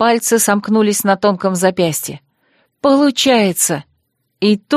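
Over a quiet background, plain reading aloud marked by ordinary pitch variation

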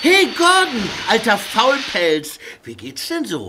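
A man's put-on character voice, high-pitched, bright and sharp in tone, slow, with very wide pitch swings.

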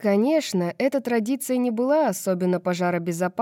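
Simply a natural reading voice

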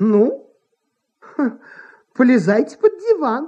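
This put-on character voice is slow, with a dark, mellow tone, a slightly husky edge and big pitch swings.

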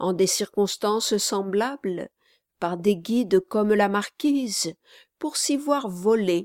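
Someone does plain reading aloud. Little sound comes from the background, which is quiet.

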